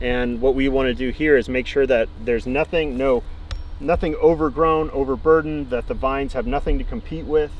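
A man talking at a fairly quick pace with ordinary pitch variation, dry sound with no echo, and light background noise. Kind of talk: casual explanation to visitors.

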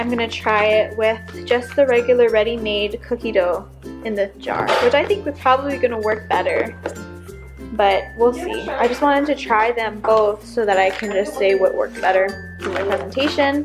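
Clear music plays in the background while the speaker goes at a moderate pace. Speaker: vlogger. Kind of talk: casual vlog chat. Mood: cheerful. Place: home room. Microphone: phone near.

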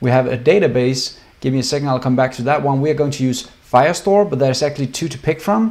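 Using lively intonation, a man with a Danish accent talks at a very fast pace. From Denmark. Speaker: software developer. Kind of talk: tutorial. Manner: casual, many fillers. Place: home room.

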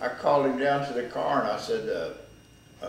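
With light background noise and audible room echo, a man speaks at a fairly quick pace. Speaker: interviewee. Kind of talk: interview answer, storytelling. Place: office.

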